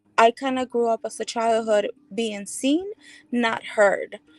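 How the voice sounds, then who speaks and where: A woman with a fairly high voice speaks in a Spanish accent with fairly even intonation. The sound is dry and close, with no echo. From El Salvador. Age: 40s. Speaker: speaker sharing life story. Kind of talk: testimony.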